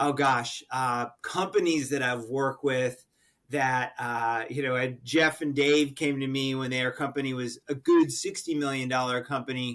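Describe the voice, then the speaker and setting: A man's ordinary speaking voice with an American accent, medium in pitch, at a moderate pace with fairly even intonation. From Connecticut. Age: 60s. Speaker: sales coach and author. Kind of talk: podcast interview.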